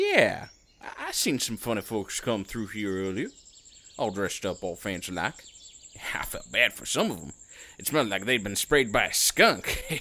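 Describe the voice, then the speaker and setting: Put-on character voice from a man, fairly low in pitch and drawling, at a moderate pace with long, frequent pauses. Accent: Southern US. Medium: audio drama. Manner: polite, folksy, drawling.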